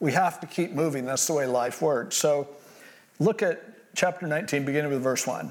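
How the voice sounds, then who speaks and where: A plain, everyday voice speaks at a moderate pace. Its loudness stays very even, with ordinary pitch variation. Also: man, fairly high pitch for a man. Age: 60s. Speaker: pastor. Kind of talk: sermon.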